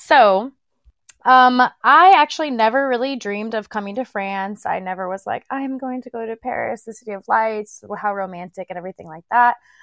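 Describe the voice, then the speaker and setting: In an unremarkable speaking voice, a woman talks fairly quickly with a fairly high pitch, lively intonation and big swings in loudness. The recording is very clean and dry, with a close sound, no echo and a silent background. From United States. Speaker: dance fitness instructor. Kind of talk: casual interview chat.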